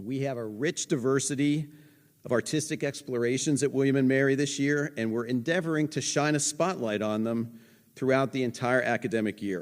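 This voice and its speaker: An ordinary speaking voice from a man at medium pitch, fairly quick, with ordinary pitch variation, on a very clean recording with a silent background. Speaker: museum director. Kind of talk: event introduction speech.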